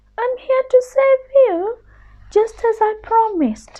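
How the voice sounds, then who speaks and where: A woman does a put-on character voice, squeaky and extremely high, at a fairly slow pace. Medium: read story.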